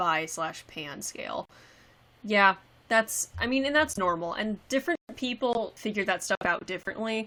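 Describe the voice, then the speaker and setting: In a very clean recording with a silent background, a woman with an American accent speaks at a moderate pace in a bright, sharp tone, her pitch varying in an ordinary way. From Texas. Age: 20s. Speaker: cosplayer. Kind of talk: livestream Q&A chat. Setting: live stream. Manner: casual, halting.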